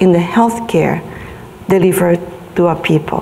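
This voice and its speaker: A woman with a Vietnamese accent speaks at a medium pitch amid noticeable background noise and audible room echo. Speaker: health advocacy organization leader. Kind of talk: conference speech. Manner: halting, many fillers.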